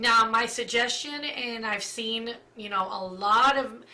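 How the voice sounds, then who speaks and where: The speech moves at a fairly slow pace with fairly even intonation. There is noticeable background noise. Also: woman. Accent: Spanish. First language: Spanish. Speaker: makeup tutorial youtuber. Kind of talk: tutorial. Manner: casual, filler-heavy.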